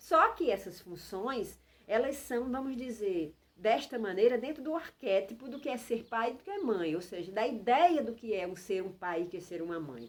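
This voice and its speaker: Her voice sits fairly high for a woman. It rises and falls across a very wide range. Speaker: health and wellness channel host. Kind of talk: informal talk to camera. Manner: slow; hesitant, repeating words.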